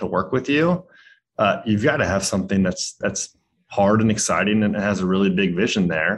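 This man has a plain, everyday voice pitched fairly low. He talks at a moderate pace with lively intonation. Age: 30s. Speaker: software startup founder and CEO. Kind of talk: interview.

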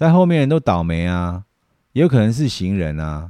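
Very deep and low, a man's voice with a dark, mellow tone makes very wide pitch swings at a moderate pace, heard dry and close with no echo. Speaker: podcast host, video production professional. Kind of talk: casual monologue. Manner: hesitant, many fillers.

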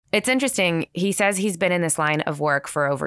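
Recorded very cleanly against a silent background, with a dry, close sound and no echo, a woman talks with lively intonation in a Californian accent. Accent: Californian American. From San Francisco Bay Area. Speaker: podcast host and journalist. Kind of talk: podcast conversation and narration.

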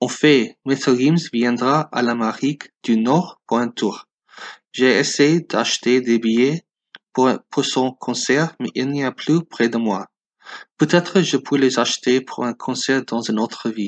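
A man's very slow, medium-pitched speech in an English accent, with ordinary pitch variation and a dry, close sound with no echo. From US West Coast, Los Angeles. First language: English (speaking French). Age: 20s. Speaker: listener. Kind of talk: recorded listener message.

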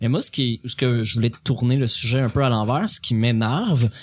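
A man talks in a Quebec accent. His pitch is medium and his pace moderate. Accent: Québécois French. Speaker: stand-up comedian. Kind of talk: casual chat.

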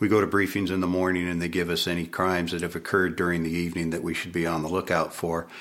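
Over music in the background, a man talks very fast in a very deep, low pitch with monotone, flat intonation. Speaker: police officer. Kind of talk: interview recollection.

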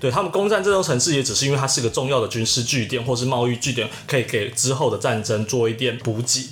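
Medium in pitch and varying in an ordinary way, a man uses a normal speaking voice. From Taiwan, Taichung. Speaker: podcast co-host. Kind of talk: casual chat.

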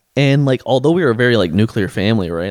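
The speaker is a man. He has an American accent. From US Midwest, Canton, northeast Ohio. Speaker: former physical therapy student. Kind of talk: casual chat.

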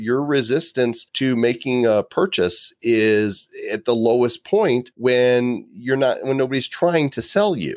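At a fairly slow pace with hardly any pauses, a man speaks with ordinary pitch variation in a dry, close sound with no echo. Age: 50s. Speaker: live video marketing expert and author. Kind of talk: interview conversation. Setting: video call.

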